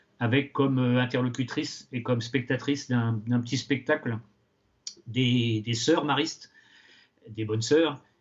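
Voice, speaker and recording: At a fairly slow pace with long, frequent pauses, a man speaks at a medium pitch with fairly even intonation. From western France, Angers area. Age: 60s. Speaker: retired teacher and novelist. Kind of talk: interview. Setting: outdoors. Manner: halting, many hesitations.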